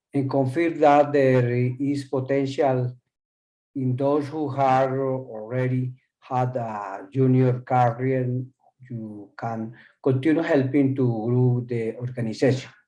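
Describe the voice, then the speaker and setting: Speaking very slowly with a Spanish accent, a man uses a medium-pitched, dark, mellow voice and fairly even intonation. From Colombia. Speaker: panel speaker. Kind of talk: formal address.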